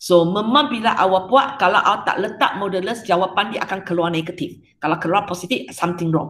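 A woman speaks fairly quickly, and her pitch varies in an ordinary way. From Malaysia. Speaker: secondary school maths teacher. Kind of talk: online class lecture. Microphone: webcam.

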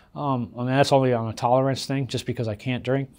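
A man talks in a medium pitch. He has an American accent. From Chicago suburbs, US Midwest; Illinois. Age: 50s. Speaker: convicted sex offender; interviewee. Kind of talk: interview testimony. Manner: halting, frequent restarts. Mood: calm, reflective, candid. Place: studio.

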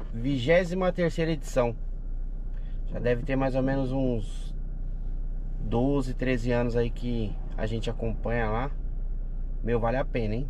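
Light background noise behind a male speaker, the sound dry with no echo. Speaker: travel vlogger. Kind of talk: casual vlog chat. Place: car. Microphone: phone near.

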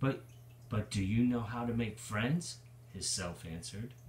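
The man's voice is somewhat breathy and his pace is fairly slow. Audible room echo surrounds him. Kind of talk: storytime reading aloud. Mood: warm, playful. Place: home room. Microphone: phone near.

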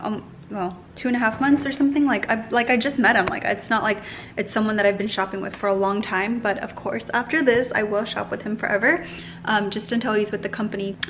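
Speaking at a fairly quick pace with few pauses, the voice has a fairly bright tone and fairly even intonation over faint background noise. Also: woman, medium pitch for a woman.

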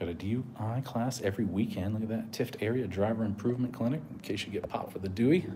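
The delivery is very fast with hardly any pauses and ordinary pitch variation. Noticeable background noise is present. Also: man, medium pitch for a man. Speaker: YouTube auditor livestreamer. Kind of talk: live stream vlog narration. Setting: outdoors walking around a police station. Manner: casual, loosely rambling.

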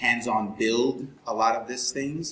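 A man speaks with fairly even intonation. The room echo is audible. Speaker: presenter. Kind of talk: lecture. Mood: jokey, relaxed. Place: classroom. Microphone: camera far.

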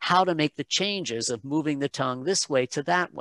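A fairly high-pitched man with lively intonation, recorded dry with no echo against a quiet background. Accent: American. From United States, childhood in Malaysia and England. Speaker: pronunciation coach, voice talent, singer. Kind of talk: interview answer. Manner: casual, conversational. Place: home room. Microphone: headset.

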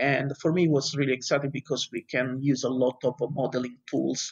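At a moderate pace, a man speaks with an Italian accent. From Italy. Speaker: university lecturer and fire researcher. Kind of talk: interview.

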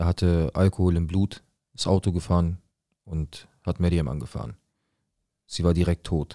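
The voice has a dark, mellow tone and fairly even intonation at a moderate pace. Long, frequent pauses break up the speech over a quiet background. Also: man, very deep, low pitch for a man. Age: 20s. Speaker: viewer telling his life story; storyteller. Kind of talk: personal testimony. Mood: serious, tense, emotional. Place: studio. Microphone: studio mic.

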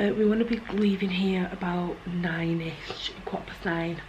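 Over noticeable background noise, a woman speaks at a fairly slow pace with fairly even intonation. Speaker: vlogger. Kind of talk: casual vlog chat. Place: home room. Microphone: phone near.

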